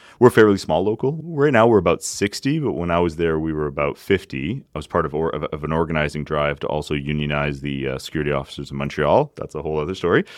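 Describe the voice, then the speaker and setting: Very fast speech from a man with a Canadian accent, very deep and low in pitch, with ordinary pitch variation and hardly any pauses. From Acadian, Canada. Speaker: union leader. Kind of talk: interview.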